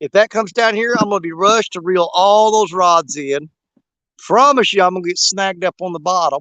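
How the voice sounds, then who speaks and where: Speaking at a moderate pace, a man with a high pitch comes through in dry, close sound with no echo. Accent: Southern US. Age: 50s. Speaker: outdoors livestreamer. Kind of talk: live stream chat. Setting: outdoors on riverbank. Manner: animated.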